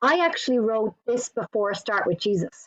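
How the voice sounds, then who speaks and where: In an Irish accent, a woman speaks at a fairly high pitch. Her pitch swings very widely. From Ireland. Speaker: author and church ministry director. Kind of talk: interview.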